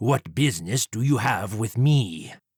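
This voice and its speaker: A man puts on a growling character voice at a medium pitch. He talks at a moderate pace. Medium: read story. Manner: arrogant, formal, sneering.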